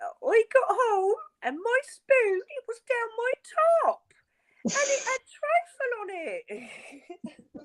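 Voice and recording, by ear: A put-on character voice speaks very slowly at an extremely high pitch.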